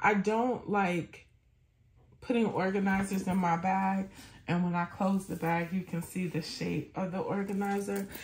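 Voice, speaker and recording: At a fairly slow pace, a woman speaks in a somewhat breathy, medium-pitched voice. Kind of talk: casual product review monologue. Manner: animated.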